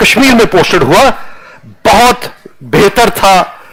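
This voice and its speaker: A high-pitched man's voice with a Punjabi accent and ordinary pitch variation, over noticeable background noise. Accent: Punjabi-accented Hindi. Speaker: retired army general. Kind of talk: motivational talk to students. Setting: classroom.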